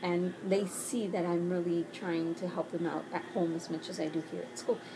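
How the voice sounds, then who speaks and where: A woman at a fairly low pitch and a moderate pace, with noticeable background noise. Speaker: teacher. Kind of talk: casual talk to camera. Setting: bedroom at home.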